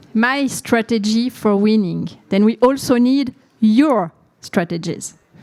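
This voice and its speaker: Fairly high-pitched woman's voice at a very slow pace, with ordinary pitch variation. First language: French. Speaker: intensive care physician. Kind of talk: conference presentation.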